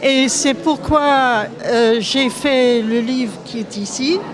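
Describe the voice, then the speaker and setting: A Scottish accent comes through with ordinary pitch variation. Crowd noise sits in the background along with audible room echo. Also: woman. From Scotland. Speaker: author and viol player. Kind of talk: public speech at exhibition opening. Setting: museum event with audience. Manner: halting.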